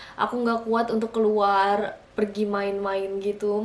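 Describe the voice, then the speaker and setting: Against noticeable background noise, a woman speaks with fairly high pitch and monotone, flat intonation. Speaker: vlogger. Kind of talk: casual vlog talk to camera. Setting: alone at home in front of camera. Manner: chatty, with many fillers.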